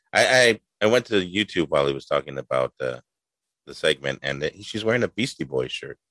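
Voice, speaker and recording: A man's fairly quick delivery with big swings in loudness, in a dry, close sound with no echo. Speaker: podcast host. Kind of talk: casual comedy podcast banter. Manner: jokey, upbeat.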